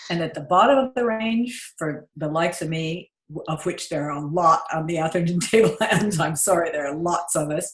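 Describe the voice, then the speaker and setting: With an Australian accent, a woman speaks at a fairly low pitch and moderate pace, with ordinary pitch variation and hardly any pauses. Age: 60s. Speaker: client giving testimonial. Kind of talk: testimonial interview. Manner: animated.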